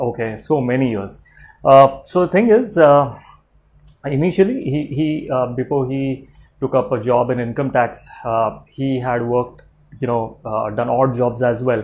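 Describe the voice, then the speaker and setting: At a fairly slow pace, a man with an Indian accent speaks in a somewhat breathy voice. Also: medium pitch for a man, ordinary pitch variation. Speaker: vlogger. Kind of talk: personal vlog. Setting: at home, late evening. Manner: quiet, low-key; hesitant, many fillers.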